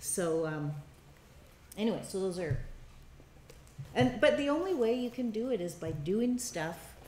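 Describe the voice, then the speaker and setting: Speaking at a fairly slow pace, a woman swings her pitch very widely, with audible echo in the room. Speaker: documentary filmmaking workshop instructor. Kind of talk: workshop teaching. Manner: loud; halting, many fillers.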